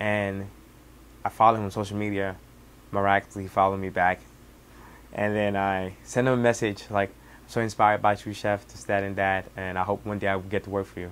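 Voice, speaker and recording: With a Senegalese accent, a man speaks at a fairly quick pace in a fairly low, monotone voice with flat intonation. His loudness swings widely. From Senegal, countryside. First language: Wolof. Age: 20s. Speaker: cook. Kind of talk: interview, personal story. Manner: halting, with many restarts.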